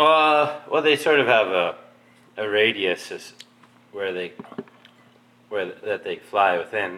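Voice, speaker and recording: A man's medium-pitched voice with lively intonation, very slow delivery and long, frequent pauses, over noticeable background noise. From Milton area, Ontario, Canada. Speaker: beekeeper. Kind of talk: casual interview.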